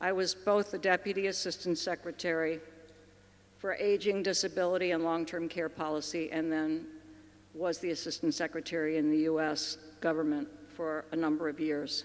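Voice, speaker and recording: A woman with an American accent, fairly low pitch, monotone, flat intonation and a moderate pace. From US, Baltimore, Maryland. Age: 60s. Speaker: aging policy expert. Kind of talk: conference keynote talk.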